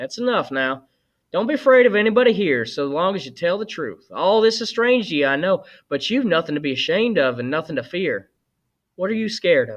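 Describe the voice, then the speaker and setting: In a put-on character voice, a man sounds gruff and high-pitched, moving at a fairly quick pace with very wide pitch swings. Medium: read story.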